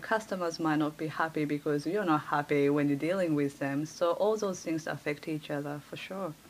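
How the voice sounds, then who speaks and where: At a moderate pace, a woman with a Japanese accent talks with lively intonation. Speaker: life coach. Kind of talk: podcast interview.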